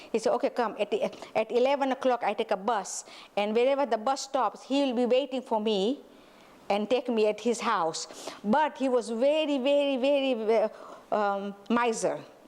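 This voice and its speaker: Her tone animated and her loudness very even, a woman speaks at a moderate pace with a high pitch and ordinary pitch variation. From Tanzania. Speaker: school owner and director. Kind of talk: interview, personal life story. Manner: halting, many fillers.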